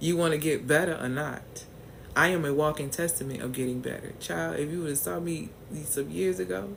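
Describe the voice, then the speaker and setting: A woman with an American accent speaks at a moderate pace in a very deep, low pitch. Her pitch swings very widely, and room echo can be heard. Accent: New Orleans accent at times. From US South, New Orleans. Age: 40s. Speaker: business and mindset coach. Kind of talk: live stream talk to viewers. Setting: livestream. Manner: animated.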